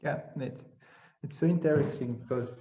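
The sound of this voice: A man speaks in a dark, mellow tone with ordinary pitch variation, and room echo is audible. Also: medium pitch for a man, moderate pace.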